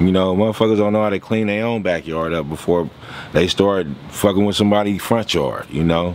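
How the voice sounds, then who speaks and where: A man with a very deep, low voice moves fairly quickly through his words, varying his pitch in an ordinary way as noticeable noise sounds behind him. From Venice, Los Angeles, California. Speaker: former prisoner telling his life story. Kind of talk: interview. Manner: casual, profane street talk.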